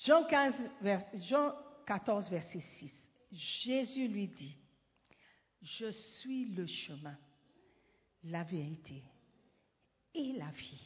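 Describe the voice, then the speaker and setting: A woman speaks at a very slow pace in a somewhat breathy voice, with big swings in loudness, very wide pitch swings, and long, frequent pauses. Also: medium pitch for a woman. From Ghana. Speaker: pastor. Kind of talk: sermon. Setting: church. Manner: animated.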